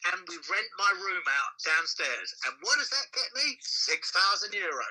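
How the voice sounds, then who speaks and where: A man with an English accent talks at a fairly slow pace. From London. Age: 60s. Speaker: club promoter and percussionist. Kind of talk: interview. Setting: Sylvia in the room. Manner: animated.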